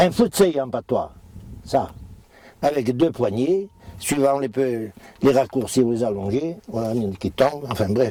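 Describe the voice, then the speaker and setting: Noticeable background noise surrounds a man with a medium pitch and lively intonation. He speaks at a fairly slow pace with long, frequent pauses. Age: 70s. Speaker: retired farmer. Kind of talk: interview, demonstration. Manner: halting.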